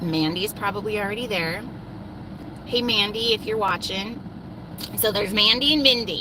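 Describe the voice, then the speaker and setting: The speaker keeps a moderate pace against noticeable background noise. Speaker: livestreamer. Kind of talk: casual livestream chat. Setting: in a car. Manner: loud. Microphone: bad mobile coverage.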